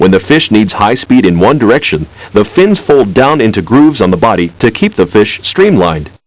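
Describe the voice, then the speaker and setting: Hardly pausing, a man with a fairly low pitch speaks at a fairly quick pace, his pitch swinging very widely while his loudness stays very even. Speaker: educational software narrator. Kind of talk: educational narration.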